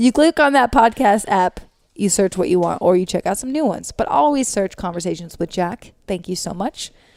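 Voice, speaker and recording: A woman of medium pitch speaks loudly at a fairly quick pace with lively intonation, the sound dry and close with no echo. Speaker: podcast co-host. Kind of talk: casual chat.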